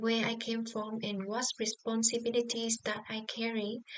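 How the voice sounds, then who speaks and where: A woman with a Vietnamese accent speaks at a fairly slow pace and a fairly high pitch. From southern Vietnam, Bac Lieu. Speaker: social work student. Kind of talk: class presentation vlog. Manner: halting, many fillers.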